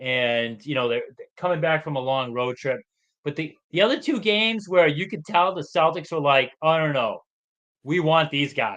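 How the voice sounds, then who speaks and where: A man with a Boston accent, fairly high in pitch, with lively intonation at a moderate pace. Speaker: sports podcast co-host. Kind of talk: casual chat.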